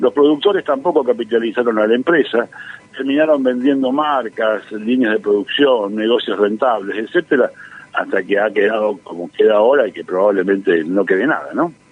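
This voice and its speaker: Against noticeable background noise, a man's medium-pitched voice moves with lively intonation. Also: moderate pace. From Argentina, Santa Fe province. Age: 60s. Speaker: economist and professor. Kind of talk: radio interview. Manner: hesitant, many fillers and repetitions.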